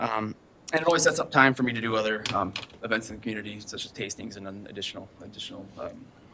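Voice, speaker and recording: A man's voice at medium pitch. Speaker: liquor store manager. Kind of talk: public meeting presentation. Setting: city council meeting. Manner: fast; hesitant, many fillers.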